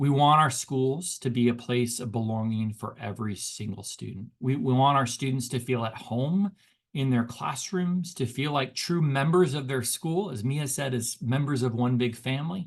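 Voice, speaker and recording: Somewhat breathy, a man talks at a moderate pace with hardly any pauses. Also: medium pitch for a man, ordinary pitch variation. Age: 50s. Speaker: education researcher and speaker, former high school teacher. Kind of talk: webinar lecture. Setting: online webinar. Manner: conversational with frequent fillers and repetitions.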